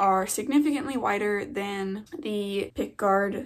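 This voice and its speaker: A woman is speaking. Her pace is very slow. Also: quiet background. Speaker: video creator. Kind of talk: casual vlog chat. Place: home room. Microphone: phone near.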